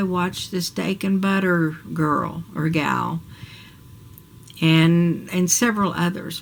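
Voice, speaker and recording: A woman's fairly low voice at a very slow pace, fairly even in intonation, amid noticeable background noise. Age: 60s. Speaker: vlogger. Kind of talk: personal video diary. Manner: casual, hesitant.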